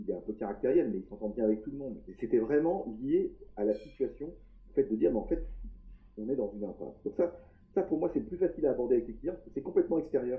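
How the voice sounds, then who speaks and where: Talking at a very fast pace, a man with a fairly high voice swings his pitch very widely. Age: 50s. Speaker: executive coach and engineer. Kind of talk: podcast interview. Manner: hesitant, repeats words.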